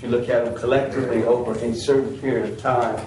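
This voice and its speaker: Amid audible room echo and noticeable background noise, a man speaks at a medium pitch. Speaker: business representative presenting to county board. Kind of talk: business presentation at public meeting.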